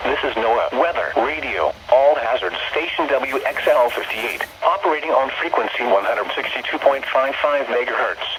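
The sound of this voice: A man at medium pitch with a fairly bright tone and lively intonation, moderate pace, few pauses, and audible room echo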